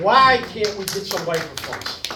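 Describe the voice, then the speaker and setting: A man talks at a moderate pace with lively intonation. Audible room echo and noticeable background noise fill the recording. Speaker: resident at public comment. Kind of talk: public comment at meeting. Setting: township meeting room. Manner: loud. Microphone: no microphone in room.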